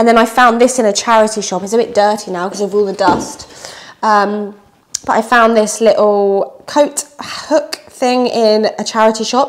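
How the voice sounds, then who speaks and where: Her intonation fairly even, a woman speaks at a moderate pace. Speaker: vlogger. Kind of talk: casual vlog chat. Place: home room. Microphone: phone near.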